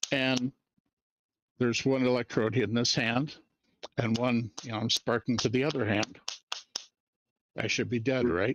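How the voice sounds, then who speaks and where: Long, frequent pauses break up a man's moderate pace. His medium pitch holds a fairly even intonation. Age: 60s. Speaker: electronics engineer. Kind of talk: educational talk in a live discussion. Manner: casual, hesitant.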